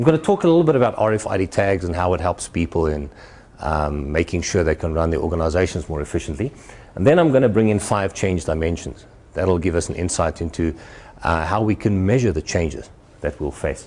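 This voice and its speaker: A man with a South African accent speaks at a fairly quick pace in a very deep, low voice, with ordinary pitch variation and noticeable background noise. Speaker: futurist keynote speaker. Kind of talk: presentation to an audience. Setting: stage with audience at a university. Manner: animated.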